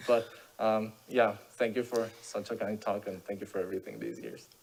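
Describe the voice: A man speaks with fairly even intonation in a fairly low, slightly mellow voice with vocal fry. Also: moderate pace.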